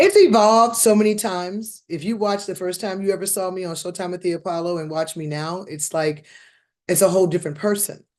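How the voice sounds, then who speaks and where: A woman's plain, everyday voice at a fairly quick pace, fairly even in intonation, with big swings in loudness over a quiet background. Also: medium pitch for a woman. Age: 50s. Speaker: comedian and actress. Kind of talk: casual interview.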